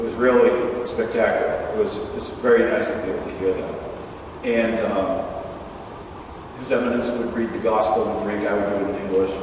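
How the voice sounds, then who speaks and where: Over noticeable background noise and audible room echo, a man speaks at a fairly quick pace, broken by long, frequent pauses. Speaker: Orthodox priest. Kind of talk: talk to a parish audience. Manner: casual, conversational with fillers.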